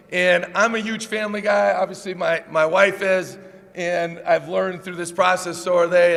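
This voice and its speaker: A man speaks loudly at a high pitch and a moderate pace, with fairly even intonation. Noticeable background noise and audible room echo fill the recording. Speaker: college basketball head coach. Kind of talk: press conference introduction speech. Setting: press conference with audience.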